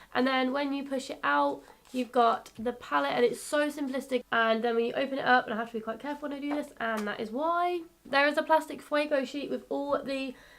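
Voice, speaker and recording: Speaking fairly quickly with an English accent, a woman keeps a high pitch and fairly even intonation. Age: 20s. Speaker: beauty youtuber. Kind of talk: tutorial. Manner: casual, chatty.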